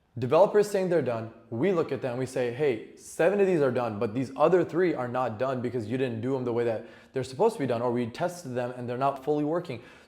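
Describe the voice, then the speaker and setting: Speaking very fast with hardly any pauses, a man uses lively intonation, a medium pitch and a dark, mellow tone. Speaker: business owner giving tech tips. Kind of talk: tutorial. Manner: casual, with fillers.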